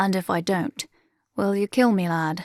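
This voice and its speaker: Using a put-on character voice, a woman speaks at a medium pitch. Her pace is moderate. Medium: read story. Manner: theatrical, grandiose, teasing.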